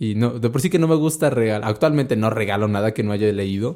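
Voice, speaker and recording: A man's very fast delivery at a medium pitch, dark and mellow in tone, on a very clean recording with a silent background. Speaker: podcast host. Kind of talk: casual chat. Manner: stammering.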